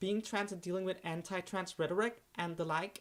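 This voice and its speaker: A woman of medium pitch with a non-native accent and fairly even intonation, in a very clean recording over a silent background. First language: not English. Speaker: YouTube streamer. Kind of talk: live art stream talk. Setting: live stream. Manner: halting, many fillers.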